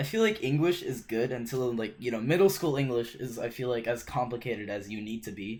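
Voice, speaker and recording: A man's voice sits at a medium pitch with ordinary pitch variation, moving fairly quickly and leaving hardly any pauses. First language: not English. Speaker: podcast host. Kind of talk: casual chat.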